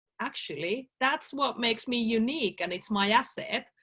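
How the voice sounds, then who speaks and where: A woman with a Finnish accent speaks at a fairly high pitch. Her pace is fairly slow and her intonation lively. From Finland. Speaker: life coach. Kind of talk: interview.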